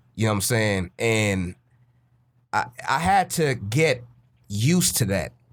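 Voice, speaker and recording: A man at a fairly slow pace with long, frequent pauses, lively intonation and very even loudness. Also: medium pitch for a man. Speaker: podcast co-host. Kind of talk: casual chat. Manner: animated.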